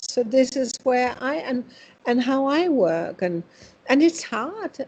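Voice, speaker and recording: Speaking very slowly with a Danish accent, a woman uses a high pitch and very wide pitch swings. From Denmark. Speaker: spiritual medium. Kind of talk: interview.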